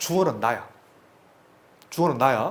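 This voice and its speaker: A man's high voice with very wide pitch swings at a fairly quick pace, plus audible room echo. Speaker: math tutor. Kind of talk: lecture. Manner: fast.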